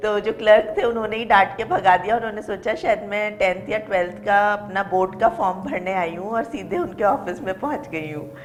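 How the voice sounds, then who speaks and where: Woman at a medium pitch, moderate pace and hardly any pauses, with ordinary pitch variation over noticeable background noise. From Jaipur, Rajasthan, India. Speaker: assistant professor. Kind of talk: interview. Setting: studio.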